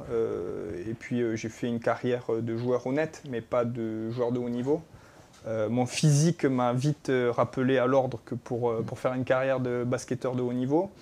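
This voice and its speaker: In a dark, mellow tone, a man speaks at a moderate speed. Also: medium pitch for a man. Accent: southwestern French. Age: 30s. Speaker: basketball coach. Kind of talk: talk show interview. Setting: studio.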